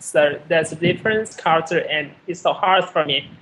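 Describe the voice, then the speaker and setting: A man with a Vietnamese accent at a moderate pace, with noticeable background noise. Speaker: Buddhist monk, caller. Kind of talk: casual chat. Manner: halting.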